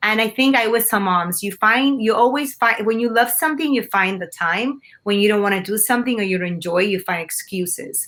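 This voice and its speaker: A woman talks at a fairly quick pace, with hardly any pauses, in a Spanish accent. Her pitch is fairly high, with ordinary variation. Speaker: TV news anchor. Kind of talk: interview.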